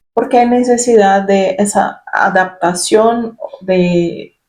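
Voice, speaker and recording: A woman with a Brazilian accent, medium pitch and fairly even intonation. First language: Portuguese (speaking Spanish). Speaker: spiritual self-help youtuber. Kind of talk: reflective personal talk. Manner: halting, with fillers.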